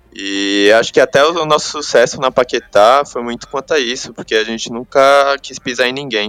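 A man's plain, everyday voice, medium in pitch with ordinary pitch variation, at a moderate pace with hardly any pauses, in a dry, close sound with no echo. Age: 20s. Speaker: pro gamer. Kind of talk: interview.

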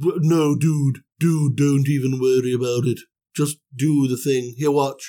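With a fairly high pitch, a man puts on a character voice and talks at a fairly slow pace. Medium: solo performance. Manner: slangy, laid-back.

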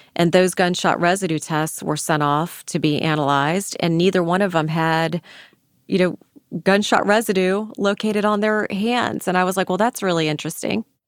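On a very clean recording with a silent background, a woman with a fairly low pitch and a plain, everyday voice speaks at a moderate pace, with ordinary pitch variation and very even loudness. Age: 50s. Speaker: attorney heading a conviction review unit. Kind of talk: interview.

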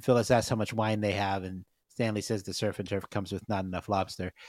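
A man with a fairly low pitch talks at a fairly quick pace on a very clean recording with a silent background and a dry, close sound with no echo. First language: not Spanish. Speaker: podcast co-host. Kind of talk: casual chat.

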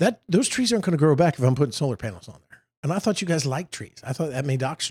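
A man talks at a very fast pace, somewhat breathy and with very wide pitch swings, on a very clean recording with a silent background and a dry, close sound with no echo. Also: fairly high pitch for a man. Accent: American. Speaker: state senator and podcast co-host. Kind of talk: casual political chat.

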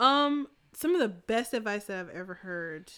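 A woman with an American accent, a bright, sharp tone, ordinary pitch variation and a moderate pace. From US South. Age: 30s. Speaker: photographer. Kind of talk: casual chat.

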